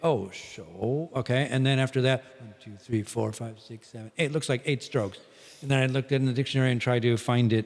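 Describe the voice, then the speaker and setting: A man with a Midwestern American accent speaks at a fairly quick pace, his pitch medium and his intonation fairly even. His loudness swings widely. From US Midwest. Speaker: English teacher and performer. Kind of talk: casual podcast conversation.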